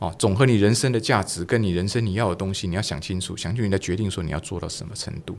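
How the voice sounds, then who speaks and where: A man with a fairly low pitch and ordinary pitch variation speaks at a very fast pace with hardly any pauses. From Taiwan. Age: 60s. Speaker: retired business executive; podcast guest. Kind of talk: interview. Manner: animated. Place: studio. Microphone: studio mic.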